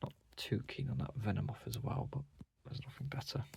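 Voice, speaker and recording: With a British accent, a man talks in a medium pitch with vocal fry. The intonation is fairly even. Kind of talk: casual collection walkthrough.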